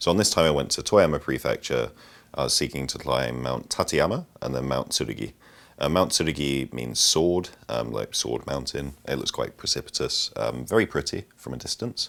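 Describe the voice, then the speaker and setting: A man speaks with a Yorkshire accent. He talks at a moderate pace. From northern England, Sheffield. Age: 20s. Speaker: mountain climber. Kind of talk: interview storytelling. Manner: hesitant, many ums.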